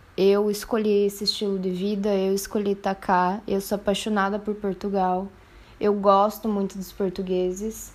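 The voice belongs to a woman. She talks at a medium pitch. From Brazil, interior of Paraná. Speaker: art student and poet. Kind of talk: casual chat.

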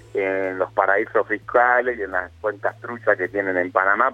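A man talking at a fairly slow pace over music in the background. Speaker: mayor. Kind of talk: interview. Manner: halting.

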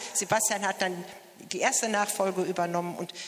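A woman is speaking. Background noise is noticeable throughout. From Mettingen, Westphalia, Germany. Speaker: church choir member. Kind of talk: interview at a celebration.

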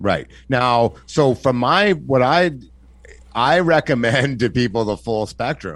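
Speaking at a very slow pace, a man uses lively intonation at a medium pitch. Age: 40s. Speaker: podcast host. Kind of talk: casual chat.

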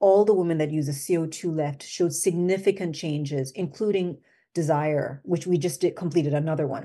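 A woman with a slight Jamaican accent, a fairly low pitch, a dark, mellow tone and a fairly quick pace, against a quiet background. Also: ordinary pitch variation. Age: 50s. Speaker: skincare company founder. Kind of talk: interview.

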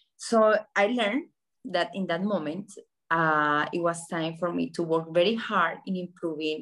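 Here a woman speaks in a Colombian accent. Her pace is moderate and her pitch varies in an ordinary way. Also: quiet background. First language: Spanish. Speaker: journalist and communications entrepreneur. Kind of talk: interview sharing life story with students.

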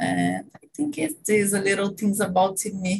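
A woman's somewhat breathy medium pitch, lively intonation and fairly slow pace. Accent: Brazilian Portuguese. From Brazil. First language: Portuguese. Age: 30s. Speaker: engineer. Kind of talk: casual chat. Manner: halting.

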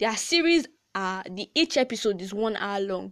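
A woman is speaking. Her tone is animated and her intonation lively. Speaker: podcast host. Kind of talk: casual chat; tutorial.

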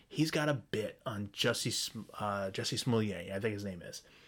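A man with an unremarkable speaking voice, fairly low in pitch, with ordinary pitch variation at a moderate pace. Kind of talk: angry rant. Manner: venting, profane and contemptuous, with insults fired in staccato repeats; sarcastic and combative, with a dismissive, sneering edge.

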